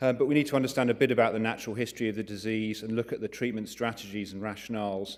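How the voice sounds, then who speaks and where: With an English accent, a man at medium pitch talks at a very fast pace with fairly even intonation and hardly any pauses. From England, London. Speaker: neurointerventional radiologist. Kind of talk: conference lecture. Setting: conference talk.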